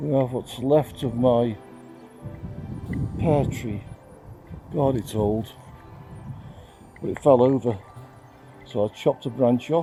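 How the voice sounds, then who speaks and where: With music in the background, a man speaks fairly slowly in a medium pitch, using ordinary pitch variation and long, frequent pauses. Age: 70s. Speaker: amateur gardener. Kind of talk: casual garden tour talk to camera.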